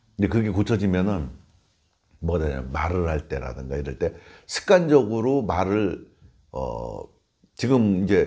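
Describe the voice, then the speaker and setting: With a very deep, low pitch and vocal fry, a man speaks in a dark, mellow tone at a fairly slow pace, making very wide pitch swings and long, frequent pauses. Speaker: Buddhist monk teaching meditation. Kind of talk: informal dharma talk. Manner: conversational, explanatory.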